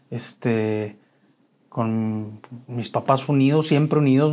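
This man's pitch varies in an ordinary way. The recording is very clean, and the background is silent. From Mexico, Chihuahua. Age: 50s. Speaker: author sharing recovery story. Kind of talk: interview testimony. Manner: halting, many repetitions.

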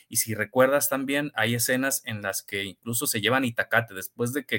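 Dry and close with no echo, a man's bright, sharp voice at medium pitch moves at a moderate pace with ordinary pitch variation on a very clean recording with a silent background. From Tijuana, Mexico. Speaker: novelist. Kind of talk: interview. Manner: halting, many repetitions.

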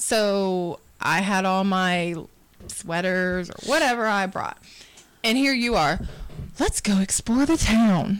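A woman talks at a very slow pace in a medium pitch. Her intonation is lively. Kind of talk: casual chat.

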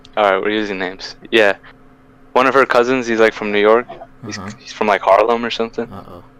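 Through noticeable background noise, a man talks at a fairly quick pace with a fairly low pitch and fairly even intonation. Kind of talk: casual chat. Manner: uses slang, storytelling.

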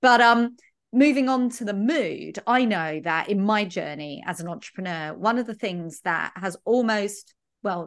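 In a southern English accent, a woman speaks at a fairly slow pace and a medium pitch. Her intonation is lively, and the background is quiet. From London. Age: 40s. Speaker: podcast host, business coach. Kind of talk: podcast interview.

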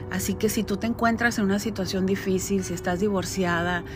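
A woman's medium-pitched voice with ordinary pitch variation, amid noticeable background noise and audible room echo. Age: 40s. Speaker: podcaster and direct-sales entrepreneur. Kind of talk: personal monologue. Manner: conversational.

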